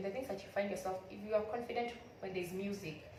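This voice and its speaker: A woman's ordinary pitch variation comes through audible room echo and noticeable background noise. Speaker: YouTuber. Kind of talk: motivational vlog talk.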